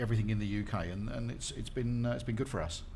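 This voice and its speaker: This man's voice comes with noticeable echo from the room. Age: 50s. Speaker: skincare manufacturer. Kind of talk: panel discussion. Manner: hesitant, many fillers.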